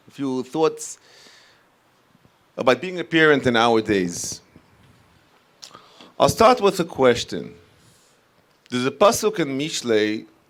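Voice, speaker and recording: With an Israeli accent, a man talks at a fairly slow pace in a fairly high voice. His pitch swings very widely, and he takes long, frequent pauses. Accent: Israeli Hebrew accent in English. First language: Hebrew. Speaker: rabbi and youth educator. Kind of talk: talk to an audience. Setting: community event with audience. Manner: halting.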